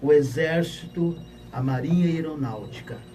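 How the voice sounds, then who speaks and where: In a room with audible echo, a man with a fairly high pitch talks at a fairly slow pace with ordinary pitch variation. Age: 60s. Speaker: pastor and retired army officer. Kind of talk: public question to panel.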